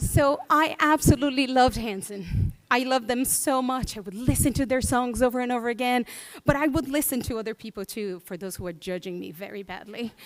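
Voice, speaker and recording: A woman talks at a fairly quick pace in a high pitch with ordinary variation. Her loudness swings widely. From Brazil, São Paulo state. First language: Portuguese. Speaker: children's book illustrator. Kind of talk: conference talk. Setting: stage with audience.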